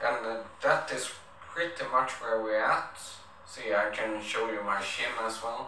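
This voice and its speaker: A man with a non-native accent speaks fairly slowly at a medium pitch, his intonation fairly even. Audible room echo and light background noise surround him. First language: not English. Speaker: vlogger. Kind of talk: casual talk to camera. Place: home room.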